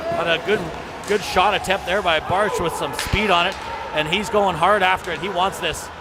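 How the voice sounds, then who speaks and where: The voice has ordinary pitch variation over noticeable background noise. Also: man. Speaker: hockey play-by-play announcer. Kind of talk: live commentary. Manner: fast; animated.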